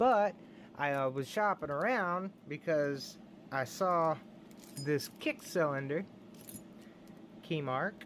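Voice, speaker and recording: With an American accent, the speaker goes at a very slow pace, leaving long, frequent pauses. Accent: Texan redneck. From Texas. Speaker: lock picking hobbyist youtuber. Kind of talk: casual show-and-tell video. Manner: animated.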